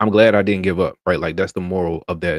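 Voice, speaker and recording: Monotone, flat intonation comes from a man with an American accent. The recording is very clean with a silent background, and the sound is dry and close with no echo. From North Carolina, Durham. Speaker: delivery driver and content creator. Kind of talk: live stream casual talk. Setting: live stream.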